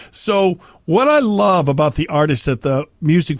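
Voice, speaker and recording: In a very clean recording with a silent background, a man with a fairly high pitch speaks in an animated tone with lively intonation. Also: dry, close sound with no echo. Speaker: podcast co-host. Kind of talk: casual chat.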